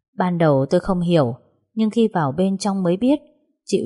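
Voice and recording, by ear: The background stays quiet. Someone reads aloud here in a natural voice.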